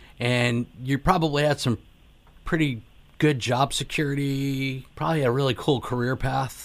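An unremarkable speaking voice with an American accent, moderate pace and fairly even intonation. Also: man, medium pitch for a man. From Connecticut. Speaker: radio talk show host. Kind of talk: interview.

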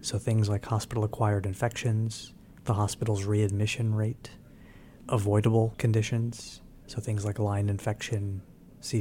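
In an American accent, a man speaks with monotone, flat intonation and a dark, mellow, somewhat breathy tone. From New York. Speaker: physician and health insurance executive. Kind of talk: interview.

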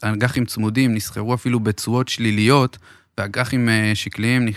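On a very clean recording with a silent background, a man talks at a moderate pace in a monotone, flat intonation at a medium pitch. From Israel, Beersheba. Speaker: mortgage advisor. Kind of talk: podcast interview.

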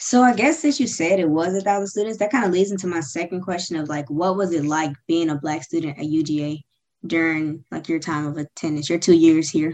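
Her pitch fairly low, a woman talks at a fairly quick pace with ordinary pitch variation in an ordinary speaking voice. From Georgia, US. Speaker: student interviewer. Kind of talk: interview.

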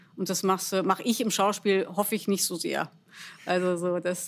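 Here a woman speaks at medium pitch. Her pace is moderate. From Germany, Bielefeld. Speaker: actress and cabaret artist. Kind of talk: casual interview.

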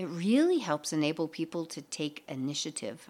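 A woman speaks at a moderate pace in a fairly low pitch, with an unremarkable speaking voice. The recording is very clean, with a silent background. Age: 50s. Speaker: podcast host, mindset coach. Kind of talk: solo motivational podcast talk.

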